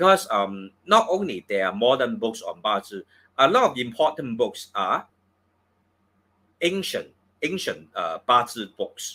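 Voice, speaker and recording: Speaking at a fairly slow pace with a Cantonese accent, a man shows big swings in loudness. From Hong Kong. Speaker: feng shui and astrology teacher. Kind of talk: course promotion talk on live stream. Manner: halting, many fillers.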